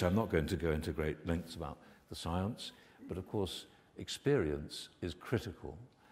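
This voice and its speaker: A man with a very deep, low voice sounds somewhat breathy and keeps ordinary pitch variation. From United Kingdom. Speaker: medical research scientist. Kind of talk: conference keynote lecture. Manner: soft-spoken. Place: hall.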